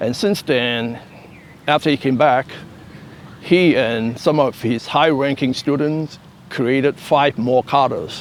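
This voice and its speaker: A man speaks at a fairly slow pace amid noticeable background noise. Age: 70s. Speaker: karate master. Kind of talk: interview.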